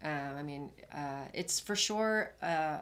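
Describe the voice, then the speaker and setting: A woman is speaking. Her voice is very deep and low. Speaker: spiritual practitioner. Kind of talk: interview.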